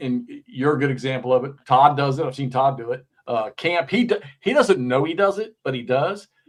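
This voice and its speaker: Speaking at a moderate pace, a man uses lively intonation and a fairly high pitch. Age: 60s. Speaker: wargaming video creator, show host. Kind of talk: casual chat. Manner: animated.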